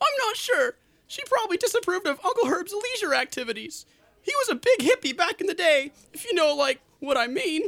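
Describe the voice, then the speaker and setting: This cartoonish character voice sits at an extremely high pitch, swings very widely in pitch, and drawls at a fairly quick pace. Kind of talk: comic parody of a cartoon mystery sidekick. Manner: slacker drawl, filler word 'like', relaxed and goofy.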